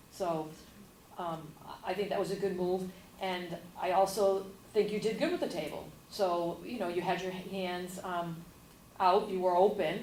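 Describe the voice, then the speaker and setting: There is audible room echo as a woman speaks at a moderate pace and medium pitch, fairly even in intonation, with long, frequent pauses. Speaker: workshop participant giving peer feedback. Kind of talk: group feedback discussion.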